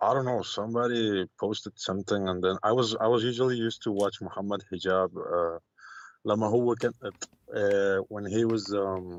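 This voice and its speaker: Speaking with an Arabic accent, a man keeps a moderate pace, a fairly low pitch, and fairly even intonation. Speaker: caller. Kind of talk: call-in debate. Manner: halting.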